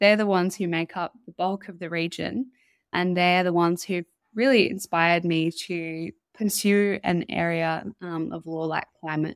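In an Australian accent, a woman with a fairly low pitch speaks at a moderate pace with fairly even intonation, her sound dry and close with no echo. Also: very clean recording, silent background. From northern New South Wales, Australia. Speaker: legal researcher and climate activist. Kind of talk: interview.

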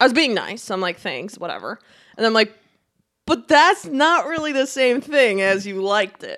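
Bright and sharp in tone, a woman's high voice moves at a moderate pace through very wide pitch swings. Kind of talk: casual chat. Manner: laughs often, banters.

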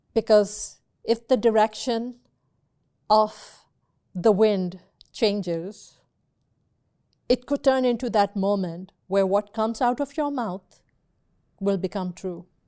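Her tone is dark and mellow, with long, frequent pauses. The woman talks at a very slow pace and a fairly high pitch. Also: ordinary pitch variation, very clean recording, silent background. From Pakistan. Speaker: podcast host. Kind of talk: personal monologue. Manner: halting, with many fillers.

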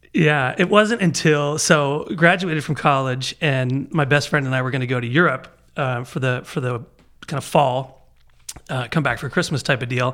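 With an American accent, a man talks at a moderate pace in a plain, everyday voice, fairly high in pitch with ordinary pitch variation. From Baltimore, US. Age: 40s. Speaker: musician. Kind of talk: casual chat.

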